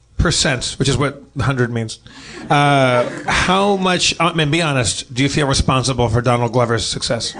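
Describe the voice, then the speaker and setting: A man at a moderate pace, with very even loudness and ordinary pitch variation, amid noticeable background noise. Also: medium pitch for a man. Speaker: podcast co-host. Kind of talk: casual comedy podcast chat.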